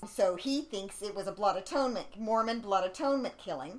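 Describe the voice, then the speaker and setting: Using lively intonation, a woman with a plain, everyday voice talks at a moderate pace. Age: 50s. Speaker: podcast co-host, conspiracy researcher. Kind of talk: casual chat.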